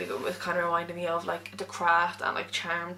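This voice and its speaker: A woman mumbling at a very fast pace with an Irish accent and fairly low pitch, over noticeable background noise. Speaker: book vlogger. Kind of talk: casual monologue.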